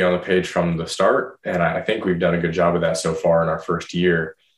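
Very deep and low, a man's voice moves at a fairly quick pace. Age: 20s. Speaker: landscaping and fencing business owner. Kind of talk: casual interview chat.

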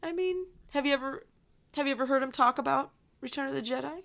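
A raised, projected voice with a bright, sharp tone comes through in a very clean recording with a silent background. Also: woman. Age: 30s. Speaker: podcast co-host. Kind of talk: casual chat; scripted show intro.

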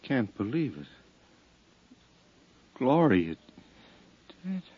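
A man puts on a character voice with a slightly husky edge. His medium pitch swings widely at a very slow pace.

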